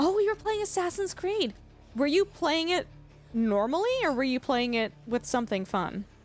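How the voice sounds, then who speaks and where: Music plays behind a woman speaking at a fairly slow pace in a high pitch. Her pitch swings very widely while her loudness stays very even. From Canada. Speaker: gaming streamer. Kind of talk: live-stream chat with viewers. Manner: casual, filler-heavy.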